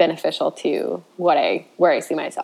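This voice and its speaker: A woman speaks with an American accent. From rural US Midwest. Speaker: muralist and artist. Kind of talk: interview.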